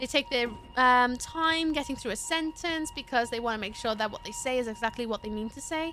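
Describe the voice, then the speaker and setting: The voice is raised and projected, moving at a fairly quick pace with ordinary pitch variation. Music plays in the background. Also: woman, high pitch for a woman. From Wales. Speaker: gaming streamer. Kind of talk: casual live-stream chat while gaming. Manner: very fast; animated.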